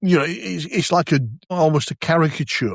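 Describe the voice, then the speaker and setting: An unremarkable speaking voice from a man, with lively intonation and a moderate pace, on a very clean recording with a silent background and dry, close sound with no echo. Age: 60s. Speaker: podcast host. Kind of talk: casual chat.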